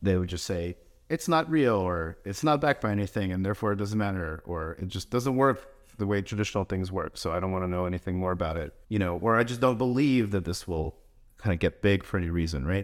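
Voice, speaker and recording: Talking at a very fast pace with lively intonation, a man with a fairly low voice is heard on a very clean recording with a silent background. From New York / New Jersey area, US (born in Russia, came as a child in 1990). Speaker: crypto investment firm founder. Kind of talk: podcast interview.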